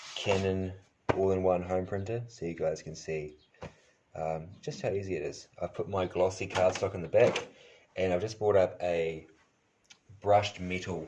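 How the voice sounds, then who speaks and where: A man with a New Zealand accent and a very deep, low pitch, speaking at a moderate pace with fairly even intonation. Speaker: crafter. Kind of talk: tutorial. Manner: casual, hesitant with fillers.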